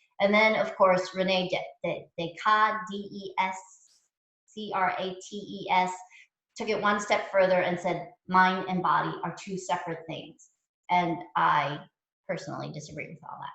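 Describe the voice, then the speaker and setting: Audible room echo surrounds a woman speaking at a moderate pace and medium pitch. Her tone is bright and sharp, her intonation monotone and flat. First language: not English. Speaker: mindfulness teacher. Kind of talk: lecture. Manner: casual, halting with fillers.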